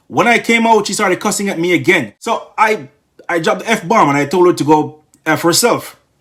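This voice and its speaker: Fairly quick, animated speech from a man with a high pitch and ordinary pitch variation. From Jamaica. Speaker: YouTube commentator. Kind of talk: casual storytelling commentary.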